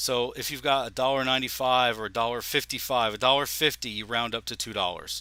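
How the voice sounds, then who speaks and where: On a very clean recording with a silent background, a man at medium pitch talks at a very fast pace with hardly any pauses, fairly even intonation and a bright, sharp tone. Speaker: legal forms instructor. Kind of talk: tutorial.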